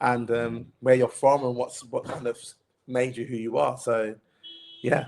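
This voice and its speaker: At a fairly slow pace, a man speaks at medium pitch in a monotone, flat intonation. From East London, England. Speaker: TV executive producer. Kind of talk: interview conversation.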